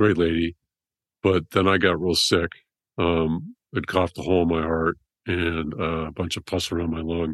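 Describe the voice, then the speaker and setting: A man with an American accent at a very deep, low pitch and moderate pace, his intonation monotone and flat, in a dry, close sound with no echo. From California. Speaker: trauma surgeon. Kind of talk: interview storytelling.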